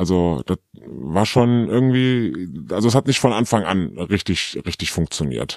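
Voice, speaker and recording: A man's very deep, low voice with very wide pitch swings, dry and close with no echo. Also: fairly slow pace. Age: 30s. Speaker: anonymous interview guest. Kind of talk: candid personal interview. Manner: halting, many fillers.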